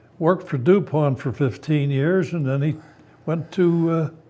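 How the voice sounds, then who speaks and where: A man speaks with an American accent. His pitch is fairly high, with ordinary variation. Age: 90s. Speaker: war veteran. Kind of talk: interview. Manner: halting.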